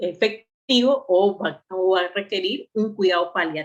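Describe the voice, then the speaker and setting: A woman talking at a very slow pace. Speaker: medical lecturer. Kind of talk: online lecture.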